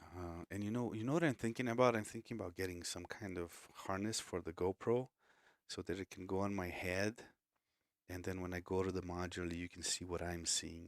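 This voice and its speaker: A man's very deep, low voice with a Portuguese accent, fairly quick pace and fairly even intonation, on a very clean recording with a silent background and a dry, close sound with no echo. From Brazil. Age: 40s. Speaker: music composer and producer. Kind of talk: live stream tutorial. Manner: casual, chatty.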